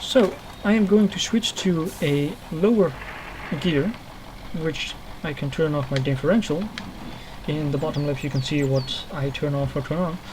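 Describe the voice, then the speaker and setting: Long, frequent pauses break up the speech. Noticeable background noise runs underneath. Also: moderate pace. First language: not English. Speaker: gaming video creator. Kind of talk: let's play tutorial commentary. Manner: halting, with fillers and self-corrections.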